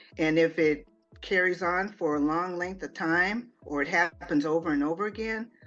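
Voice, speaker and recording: A woman at medium pitch and moderate pace, with music in the background. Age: 60s. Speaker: author and minister. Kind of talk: interview. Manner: hesitant, many fillers and restarts.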